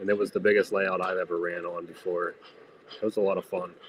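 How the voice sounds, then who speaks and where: The speaker moves at a fairly quick pace in a flat monotone. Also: man. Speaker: model train live streamer. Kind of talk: casual live stream chat. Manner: loud.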